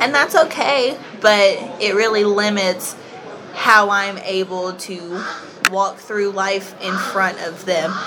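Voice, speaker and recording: Against noticeable background noise, a woman with a Southern US accent speaks at a very slow pace, her medium pitch showing ordinary variation. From Kentucky, US South. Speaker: podcast guest. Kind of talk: casual chat.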